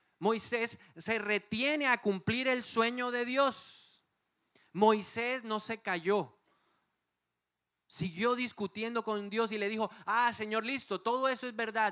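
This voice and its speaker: A man with a high-pitched voice projects it loudly in an animated, bright, sharp tone. The recording is very clean, with a silent background. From Colombia, Bogotá. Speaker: pastor. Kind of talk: sermon.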